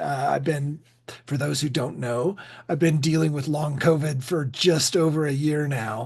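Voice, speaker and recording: Noticeable background noise under a man talking at a moderate pace. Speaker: podcast co-host. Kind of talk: casual chat. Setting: podcast recording.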